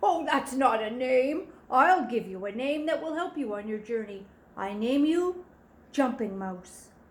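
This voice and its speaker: A woman does a gravelly put-on character voice at a high pitch, moving at a fairly slow pace with very wide pitch swings. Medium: read story.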